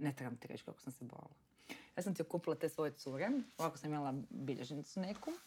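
A woman talks very fast in a very deep, low pitch, with big swings in loudness. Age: young. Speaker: entrepreneur. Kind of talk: casual interview chat.

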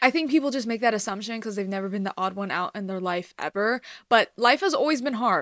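A woman with an American accent, a bright, sharp tone, ordinary pitch variation, and a dry, close sound with no echo. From US, Los Angeles area (Iranian American). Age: 18. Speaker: college student podcaster. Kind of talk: casual vlog monologue. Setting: home video recording.

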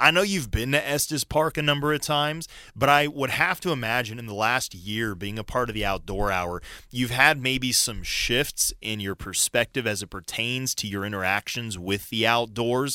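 In a very clean recording with a silent background, a man with an American accent speaks in a bright, sharp tone. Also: medium pitch for a man, lively intonation, moderate pace. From Colorado. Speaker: radio host. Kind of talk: casual chat. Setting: studio.

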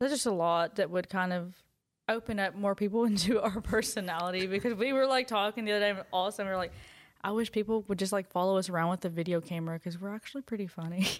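A woman talks with a Southern US accent. She goes very fast, with ordinary pitch variation. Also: medium pitch for a woman. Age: young. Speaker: aspiring podcaster. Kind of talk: casual chat.

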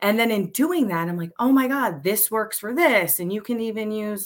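A woman speaks in an ordinary speaking voice. Her moderate pace carries lively intonation. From Pennsylvania, Montgomery County. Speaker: high school teacher and beekeeper. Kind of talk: casual chat.

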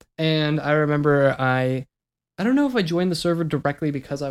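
This man has an unremarkable speaking voice with a fairly high pitch and ordinary pitch variation. The recording is very clean, with a silent background. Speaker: YouTuber and podcast co-host. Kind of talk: casual chat.

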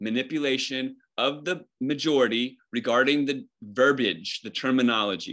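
A man speaks with an American accent at medium pitch and a moderate pace. His tone is bright and sharp, and the background is quiet. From Northern Virginia. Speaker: conspiracy theory activist. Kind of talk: casual chat.

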